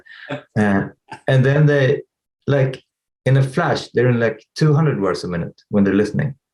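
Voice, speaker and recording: A man speaks at a moderate pace in a medium-pitched, somewhat breathy voice with lively intonation. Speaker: tech company CEO. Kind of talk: interview. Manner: halting.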